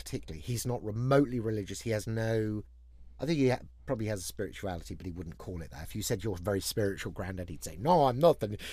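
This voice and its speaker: With an English accent, a man talks at a very fast pace, his dark, mellow tone fairly low in pitch and his intonation lively. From England. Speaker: management consultant. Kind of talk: casual chat.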